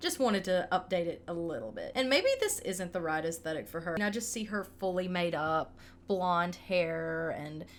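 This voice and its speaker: Over music in the background, a woman with a Southern US accent talks with hardly any pauses and ordinary pitch variation. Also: medium pitch for a woman, moderate pace. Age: 20s. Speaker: gaming YouTuber. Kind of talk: casual gameplay voiceover. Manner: casual, hesitant with fillers.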